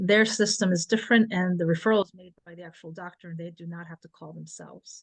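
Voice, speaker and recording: Against a quiet background, a woman uses an ordinary speaking voice with fairly even intonation. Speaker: panelist on family focus groups. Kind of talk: webinar presentation.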